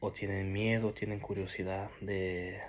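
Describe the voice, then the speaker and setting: A man talks at a very slow pace with a fairly low pitch. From Norway (Peruvian family). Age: 20s. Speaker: ex-Jehovah's Witness sharing his story. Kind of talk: personal testimony. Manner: halting, with many restarts and fillers.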